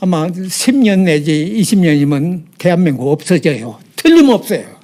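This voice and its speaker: Lively in intonation, a man speaks at a fairly slow pace with a high pitch. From South Korea, North Jeolla. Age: 80s+. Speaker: former North Korean spy. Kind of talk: interview answer. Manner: halting, stammering.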